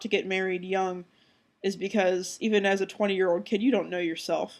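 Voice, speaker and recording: Recorded very cleanly over a silent background, the speech moves at a fairly quick pace. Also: woman. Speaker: video blogger. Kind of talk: personal vlog monologue.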